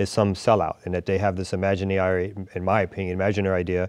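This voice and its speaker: Against a quiet background, a man talks at a very fast pace in a very deep, low voice with monotone, flat intonation. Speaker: interview guest. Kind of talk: interview answer. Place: studio. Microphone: lapel.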